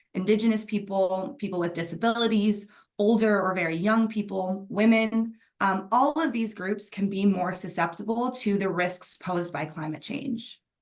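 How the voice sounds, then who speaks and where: A woman with an American accent uses a normal speaking voice at a medium pitch, with ordinary pitch variation. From Netherlands. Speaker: PhD researcher, expert speaker. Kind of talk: presentation to online dialogue. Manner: frequent filler um.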